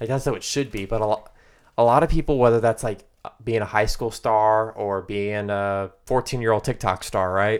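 With an American accent, a man uses a normal speaking voice at a fairly low pitch and moderate pace, his intonation fairly even on a very clean recording with a silent background. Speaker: podcast co-host. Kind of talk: casual chat. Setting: studio.

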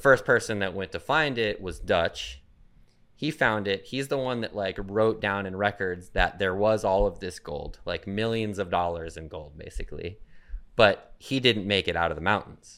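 On a very clean recording with a silent background, a man with an American accent talks in an ordinary speaking voice, fairly low in pitch, at a moderate pace with ordinary pitch variation. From Arizona, Phoenix. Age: 40s. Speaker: professional BMX rider. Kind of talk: casual chat. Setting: home studio.

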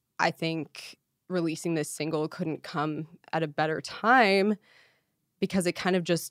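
A woman with a fairly low pitch speaks at a moderate pace. The sound is dry and close with no echo, a very clean recording with a silent background. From northern Ontario, Canada. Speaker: hard rock singer. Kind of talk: casual chat. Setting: host's condo.

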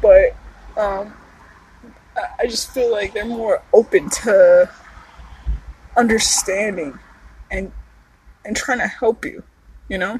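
The speaker talks at a fairly slow pace with ordinary pitch variation, and noticeable background noise can be heard. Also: woman. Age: 30s. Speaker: podcast host. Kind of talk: casual solo monologue. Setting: outdoors in a park.

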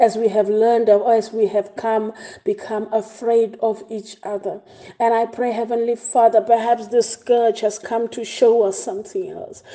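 With a South African accent, the voice carries a dark, mellow tone. Its intonation is monotone and flat, at a moderate pace. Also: woman, fairly high pitch for a woman. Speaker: church pastor leading prayer. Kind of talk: fervent prayer, intercessory, after a scripture reading. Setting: online devotion broadcast to congregation. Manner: fervent, earnest, imploring; rhythmic, repeating phrases with rising intensity.

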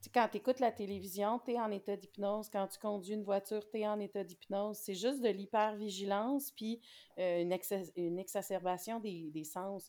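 Dark and mellow in tone, the voice speaks in a Quebec accent at a moderate pace with fairly even intonation. The recording is very clean, with a silent background. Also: woman, medium pitch for a woman. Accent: Québécois French. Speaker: knitting podcaster. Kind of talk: casual chat.

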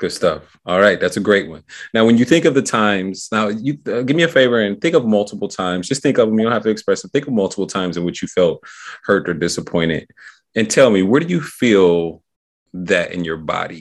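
In a quiet background, a normal speaking voice goes at a fairly quick pace with lively intonation. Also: man, fairly low pitch for a man. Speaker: podcast host and self-talk practitioner. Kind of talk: guided hypnosis, neurolinguistic programming session with a client. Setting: podcast recording.

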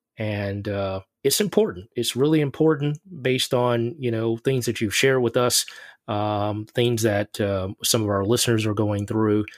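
A man speaks in a normal speaking voice at medium pitch and a moderate pace, with ordinary pitch variation, recorded very cleanly against a silent background with a dry, close sound and no echo. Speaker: podcast host. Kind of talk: interview.

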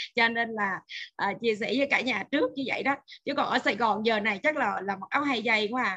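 A woman speaks in a plain, everyday voice, pitched fairly high with ordinary pitch variation. Her pace is fairly quick. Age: 40s. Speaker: nutrition expert. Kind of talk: lecture. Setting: video call.

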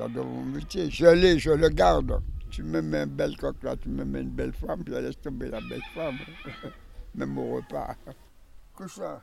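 A man talks with long, frequent pauses. There is audible room echo. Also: moderate pace. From French Antilles. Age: 80s+. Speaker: cockfighting breeder. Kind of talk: casual interview.

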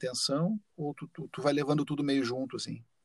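Heard in a dry, close sound with no echo, a man with an ordinary speaking voice and fairly high pitch talks at a moderate pace with fairly even intonation. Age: 50s. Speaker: podcast host and musician. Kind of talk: casual interview chat.

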